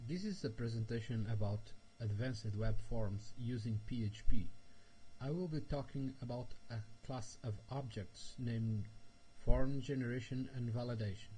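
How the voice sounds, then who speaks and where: A man is speaking, his voice somewhat breathy. The tone is dark and mellow. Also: medium pitch for a man, ordinary pitch variation. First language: Portuguese. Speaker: software developer. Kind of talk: tutorial. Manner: slow; halting.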